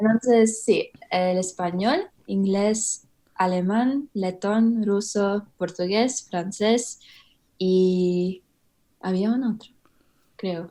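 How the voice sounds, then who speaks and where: A woman with an English accent and a dark, mellow tone, at a very slow pace with long, frequent pauses and fairly even intonation. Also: medium pitch for a woman. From Australia. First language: English (speaking Spanish). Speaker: polyglot. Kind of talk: interview. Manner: halting.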